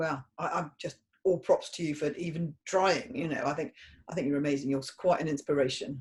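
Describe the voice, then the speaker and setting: A woman with a British accent speaks at a fairly quick pace. Her voice is very deep and low in pitch, and somewhat breathy. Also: ordinary pitch variation. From Britain. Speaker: podcast host. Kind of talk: podcast interview.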